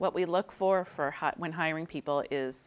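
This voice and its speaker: With vocal fry and fairly even intonation, a woman speaks in an American accent. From Wakefield, Massachusetts, US; Massachusetts. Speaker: small business owner; guest. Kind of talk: interview. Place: studio. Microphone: lapel.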